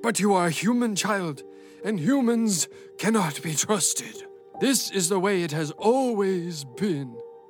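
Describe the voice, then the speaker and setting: With clear music in the background, a man with a high voice speaks at a fairly slow pace. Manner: stern, hostile, scolding.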